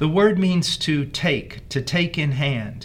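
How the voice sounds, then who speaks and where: A man speaks with a fairly high pitch and a somewhat breathy quality. His intonation is lively. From rural area, farm upbringing. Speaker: pastor teaching a Bible course. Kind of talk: Bible lesson.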